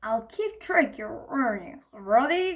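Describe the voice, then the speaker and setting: Using a put-on character voice, a woman speaks at a high pitch with very wide pitch swings. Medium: read story. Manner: friendly, encouraging.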